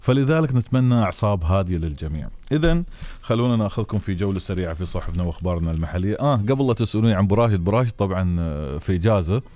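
A man's fairly low, dark, mellow voice with an Emirati accent, a fairly quick pace, lively intonation and hardly any pauses. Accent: Emirati Gulf Arabic. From UAE. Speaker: radio and TV host. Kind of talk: live call-in show. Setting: studio. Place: studio. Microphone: studio mic.

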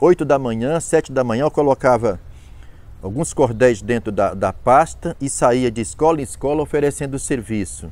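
A man with vocal fry talks at a moderate pace, in a dry sound with no echo. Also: ordinary pitch variation. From Ceará, Brazil (rural Quixadá); Ceará, Brazil. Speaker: cordel poet and author; cordel poet. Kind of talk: interview testimony. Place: garden. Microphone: lapel.

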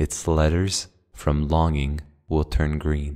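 Soft-spoken, a man talks in a very deep, low pitch. His delivery is monotone and flat, at a very slow pace. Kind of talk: poetry reading. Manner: soft-spoken, quiet.

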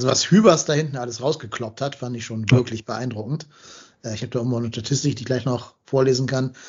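Somewhat breathy, a man races along at a very fast pace, his medium pitch carrying fairly even intonation. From Hamburg, northern Germany. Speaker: football podcast host. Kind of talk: casual chat.

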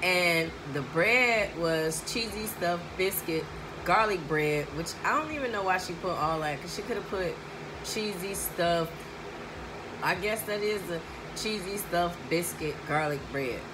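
Over noticeable background noise, a woman talks fairly slowly with ordinary pitch variation. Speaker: food vlogger. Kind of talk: casual vlog chat. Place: home room. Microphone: phone near.

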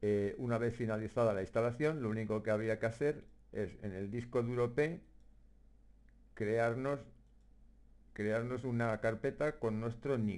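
A man speaks at a medium pitch with fairly even intonation and long, frequent pauses. The recording is very clean, with a silent background. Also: fairly slow pace. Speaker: gamer, map-making tutorial maker. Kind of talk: software tutorial narration. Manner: hesitant, many fillers.

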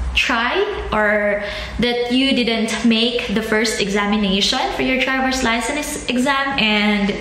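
At a very slow pace, a woman speaks with ordinary pitch variation, amid light background noise and audible room echo. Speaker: vlogger. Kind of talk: casual vlog chat. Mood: disappointed but upbeat. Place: home room. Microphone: phone near.

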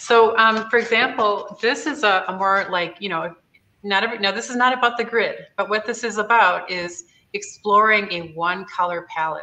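Her voice has a bright, sharp tone, and this woman's loudness swings widely. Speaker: live-stream host. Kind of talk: tutorial. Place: workshop. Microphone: webcam.

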